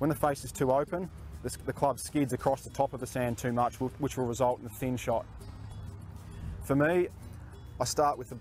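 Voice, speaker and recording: A man talks at a fairly quick pace with ordinary pitch variation, the sound dry with no echo and faint music in the background. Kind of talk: tutorial. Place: open country.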